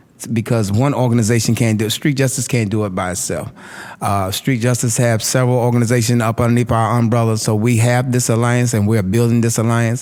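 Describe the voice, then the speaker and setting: A man's medium-pitched voice at a very fast pace, with very even loudness and noticeable background noise. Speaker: community activist. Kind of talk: panel discussion. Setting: live panel in a room. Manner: animated.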